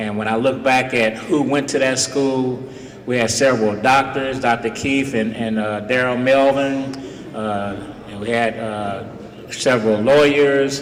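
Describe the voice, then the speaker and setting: A man speaks at a fairly slow pace with fairly even intonation, amid noticeable background noise and audible room echo. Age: 70s. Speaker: retired police officer speaking at a school. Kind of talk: speech to students.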